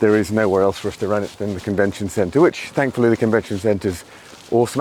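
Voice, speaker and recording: Over noticeable background noise, a man talks at a very fast pace in a fairly low pitch. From England, Birmingham. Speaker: fitness event organiser. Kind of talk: podcast interview.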